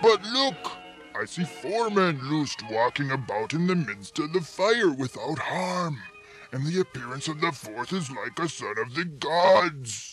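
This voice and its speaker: Over clear background music, a man puts on a cartoonish character voice, fairly high-pitched and swinging very widely in pitch, at a fairly slow pace. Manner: grandiose, laughing.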